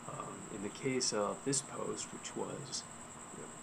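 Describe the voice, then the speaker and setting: A man talks quietly at a moderate pace with monotone, flat intonation. Noticeable background noise and audible room echo are present. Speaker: freelance writer and blogger. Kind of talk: casual video blog talk. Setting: outdoors in backyard at night. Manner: quiet, hushed; hesitant, with fillers and restarts.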